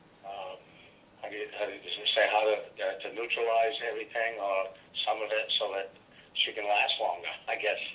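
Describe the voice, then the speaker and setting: A man speaks with long, frequent pauses, and audible room echo surrounds his voice. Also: moderate pace. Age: 60s. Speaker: caller. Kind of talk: phone call about health problems. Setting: phone call. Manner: halting, many fillers and repeats.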